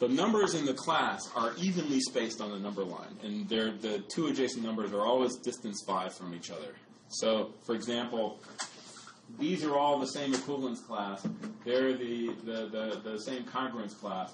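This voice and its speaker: Lively in intonation, a man talks at a moderate pace and medium pitch amid noticeable background noise and audible room echo. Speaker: math lecturer. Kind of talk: lecture.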